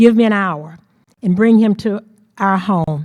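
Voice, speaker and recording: In a Mississippi accent, the speaker's dark, mellow tone moves at a fairly slow pace through very wide pitch swings, the sound dry and close with no echo. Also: woman. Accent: Southern US (Mississippi). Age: 70s. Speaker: civil rights activist. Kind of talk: storytelling talk. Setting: auditorium with audience.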